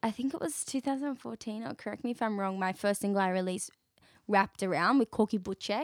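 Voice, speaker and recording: In a dry, close recording with no echo, a woman with an Australian accent speaks fairly quickly at a medium pitch, her pitch varying in an ordinary way. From Western Sydney, Australia. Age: 20s. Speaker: singer-songwriter. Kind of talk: casual interview chat.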